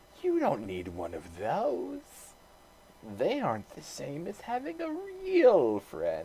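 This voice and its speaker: The put-on character voice unfolds at a very slow pace. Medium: read story. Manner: soft, wheedling.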